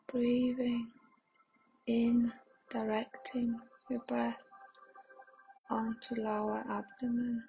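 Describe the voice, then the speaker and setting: Over music in the background, a woman with a fairly high pitch speaks very slowly in a monotone, flat way, leaving long, frequent pauses. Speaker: meditation guide. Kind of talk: guided meditation. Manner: slow, soothing, gentle pacing with long pauses; calm, soft-spoken, reassuring.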